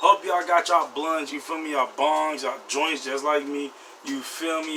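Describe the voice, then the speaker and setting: Over noticeable background noise, a man is speaking. His fairly high voice keeps fairly even intonation. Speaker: vlogger. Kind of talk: casual vlog. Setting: indoors at home, door open.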